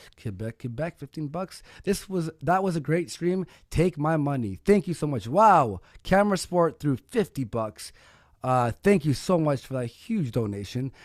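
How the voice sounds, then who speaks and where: A man at a fairly high pitch with very wide pitch swings and a moderate pace, the sound dry and close with no echo on a very clean recording with a silent background. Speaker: livestream debate host. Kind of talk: reading donations on a livestream; casual chat. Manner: halting when reading aloud.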